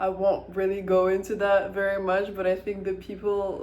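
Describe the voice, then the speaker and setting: Someone with an American accent talks at a fairly slow pace. Audible room echo surrounds the voice. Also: woman. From Ukraine, Kyiv. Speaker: vlogger. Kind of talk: casual monologue. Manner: casual, with hesitations.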